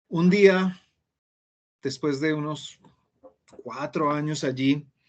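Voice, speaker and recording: Fairly even in intonation, a man speaks at a very slow pace. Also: long, frequent pauses. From Colombia. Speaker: Spanish teacher. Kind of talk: interview conversation. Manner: hesitant fillers.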